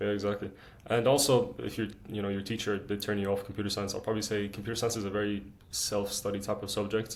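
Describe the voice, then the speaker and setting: A man with an Arabic accent speaks very fast at a fairly low pitch in a monotone, flat intonation. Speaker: student YouTuber. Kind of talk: casual chat.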